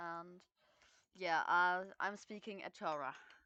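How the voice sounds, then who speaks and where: In a German accent, a woman speaks with a bright, sharp tone, a fairly low pitch and fairly even intonation, the sound dry and close with no echo. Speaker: amateur voice actor. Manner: hesitant, many fillers.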